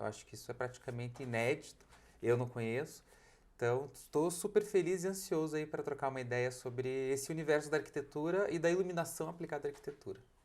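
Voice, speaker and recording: A man with a strong Curitiba accent, a fairly high pitch and a very fast pace. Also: ordinary pitch variation. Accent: thick Curitiba. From Brazil, Curitiba. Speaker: architect and lighting designer. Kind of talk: podcast interview.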